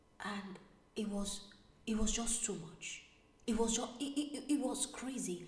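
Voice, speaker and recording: Against noticeable background noise and audible room echo, a woman with a fairly high pitch speaks in an animated tone at a fairly slow pace, with ordinary pitch variation. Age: 30s. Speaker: vlogger. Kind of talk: live stream storytelling.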